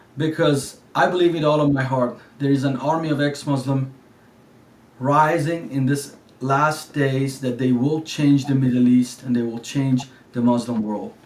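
Against audible room echo, a man speaks at a moderate pace with fairly even intonation and a fairly high pitch. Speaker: live show host. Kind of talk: live show interview host. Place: home room.

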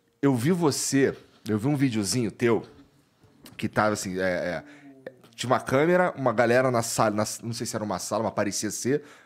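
A man talks at a moderate pace with lively intonation. He leaves long, frequent pauses. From Brazil. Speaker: podcast host. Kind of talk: casual chat. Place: studio. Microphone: studio mic.

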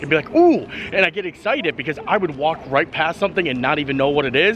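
There is light background noise. A man speaks at a very fast pace. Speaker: travel vlogger. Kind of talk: casual vlog chat. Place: street. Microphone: phone near.

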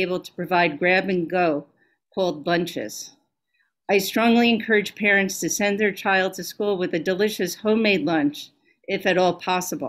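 A woman's pitch shifts in an ordinary way as she talks at a moderate speed, with near silence behind her. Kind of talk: formal report to a board meeting. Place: home room.

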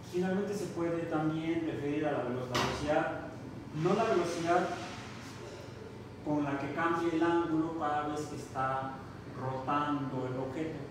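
With fairly even intonation, a man speaks at a fairly slow pace with long, frequent pauses, amid noticeable background noise and strong room echo. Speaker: university lecturer. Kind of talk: lecture. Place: classroom. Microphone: camera far.

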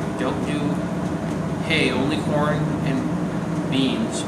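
Loud background noise accompanies a man talking at a fairly slow pace. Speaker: vlogger. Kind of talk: reading viewer mail aloud. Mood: relaxed, amused. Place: workshop.

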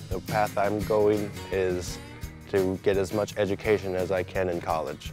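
A voice with an American accent speaks in a monotone, flat way at a fairly slow pace. The sound is dry with no echo, and clear music plays in the background. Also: man, very deep, low pitch for a man. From Minnesota, USA. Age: young. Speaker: college student. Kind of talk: interview answer. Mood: calm, positive.

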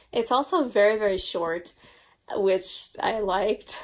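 In an American accent, a woman speaks very slowly with ordinary pitch variation against a quiet background. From US, Long Island, New York; New York. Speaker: book YouTuber. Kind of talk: casual vlog monologue. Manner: animated. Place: home room.

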